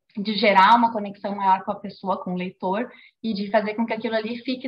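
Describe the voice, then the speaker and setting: Her pitch is fairly high and her voice is somewhat breathy. The woman speaks fairly quickly in a monotone, flat intonation. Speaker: author and illustrator. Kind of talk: book club talk. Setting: video call.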